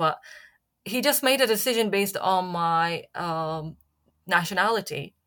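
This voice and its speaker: A woman speaks at a medium pitch with an Arabic accent. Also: very clean recording, silent background. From Syria. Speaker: journalist and playwright. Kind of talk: interview. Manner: halting, many fillers.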